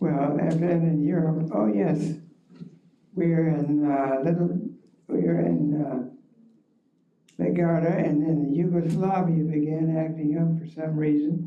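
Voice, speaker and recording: A man with an Ohio accent talks at a fairly high pitch and fairly slow pace, with fairly even intonation, long, frequent pauses and audible room echo. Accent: Northern US (Ohio). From Ohio, Cleveland area (Rocky River). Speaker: war veteran. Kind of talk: oral history talk. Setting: library forum with audience.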